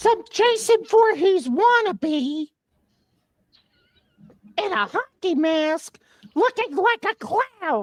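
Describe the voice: In a put-on character voice, a woman squeaks at an extremely high pitch, going at a very slow pace with long, frequent pauses.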